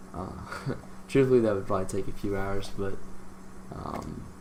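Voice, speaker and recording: Noticeable background noise fills the recording. Over it, a man keeps a moderate pace. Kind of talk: casual screen-recording tutorial talk. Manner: hesitant, stammering with many fillers.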